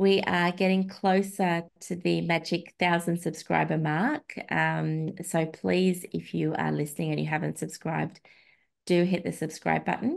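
A woman with an Australian accent at a fairly slow pace, over a quiet background. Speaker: podcast host, feminist researcher and blogger; podcast host, blogger. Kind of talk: casual chat. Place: home room. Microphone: video call.

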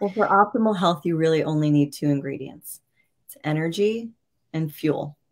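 In an American accent, a woman speaks at a moderate pace with fairly low pitch, ordinary pitch variation and big swings in loudness over a quiet background. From New York. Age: 40s. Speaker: nutrition and wellness coach; wellness coach. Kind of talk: virtual masterclass talk. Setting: video call livestream. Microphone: webcam.

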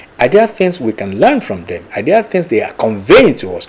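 A man's voice with music in the background. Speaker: TV show host. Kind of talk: presenter introduction. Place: studio.

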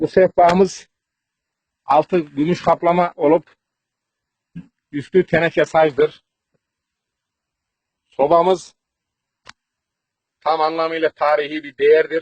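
Monotone and flat, a man with fairly high pitch speaks at a very slow pace with long, frequent pauses, in a dry, close sound with no echo. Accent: Central Anatolian. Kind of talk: comedic village tour to camera.

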